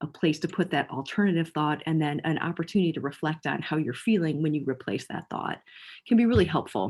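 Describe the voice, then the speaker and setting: A woman with a very deep, low pitch speaks very fast with lively intonation over a silent background in a very clean recording. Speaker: mental health educator. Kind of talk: lecture. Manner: halting.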